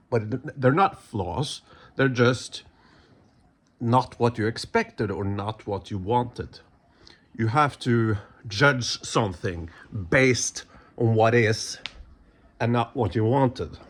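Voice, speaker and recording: A man with a Norwegian accent speaks at a very slow pace, somewhat breathy and at medium pitch. His pitch variation is ordinary, and he takes long, frequent pauses. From Norway. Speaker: YouTuber, movie commentator. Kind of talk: casual vlog commentary. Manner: hesitant, many fillers and restarts.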